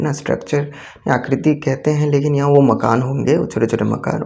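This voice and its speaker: A man speaks with a Bengali accent at a moderate pace. His pitch sits in the medium range. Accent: Bengali-accented Hindi and Indian English. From Bengal, India. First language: Bengali (speaking Hindi). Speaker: teacher. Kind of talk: tutorial. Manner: halting.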